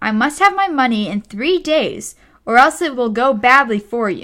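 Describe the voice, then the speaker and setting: A woman performs a put-on character voice at a high pitch with lively intonation. She keeps a moderate pace on a very clean recording with a silent background. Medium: read story. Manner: blustering.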